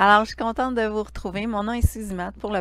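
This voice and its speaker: A woman with a Quebec accent is heard on a very clean recording with a silent background. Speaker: Reiki teacher and live stream host. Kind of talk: casual live stream chat. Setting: livestream from home living room.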